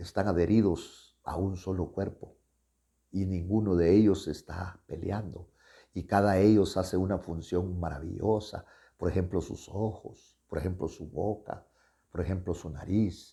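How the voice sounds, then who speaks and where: A man speaks at a very deep, low pitch and a fairly slow pace, his tone dark and mellow and somewhat breathy. His intonation is fairly even, and the recording is very clean with a silent background. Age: 70s. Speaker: pastor. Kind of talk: sermon. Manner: halting.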